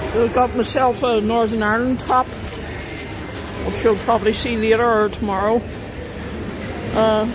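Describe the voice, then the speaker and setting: Noticeable noise sits in the background as the words come at a moderate rate. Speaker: vlogger. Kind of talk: casual vlog chat. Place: cafe. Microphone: phone near.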